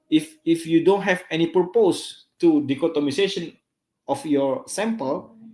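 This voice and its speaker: Over music in the background, a man with a high pitch talks at a fairly slow pace. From Indonesia. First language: Indonesian or local language. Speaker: psychology lecturer. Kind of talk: lecture. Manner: halting.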